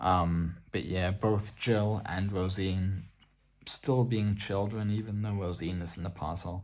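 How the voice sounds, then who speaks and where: Soft-spoken, a man talks at a fairly slow pace in a very deep, low voice. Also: fairly even intonation. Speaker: ASMR artbook presenter. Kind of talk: soft-spoken ASMR artbook showcase.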